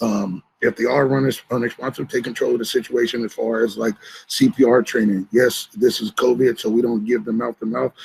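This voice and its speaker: At medium pitch and with fairly even intonation, a man speaks in an unremarkable speaking voice, the sound dry and close with no echo. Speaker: shelter worker. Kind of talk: training workshop.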